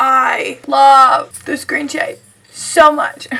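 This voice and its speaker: A woman speaks in a raised, projected voice over noticeable background noise. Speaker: beauty vlogger. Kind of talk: casual talk to camera.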